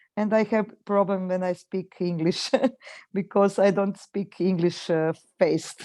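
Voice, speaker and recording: With a Croatian accent, a woman speaks at a fairly slow pace in a dark, mellow tone with fairly even intonation. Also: medium pitch for a woman. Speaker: webinar participant. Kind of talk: casual chat. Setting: video call. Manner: halting.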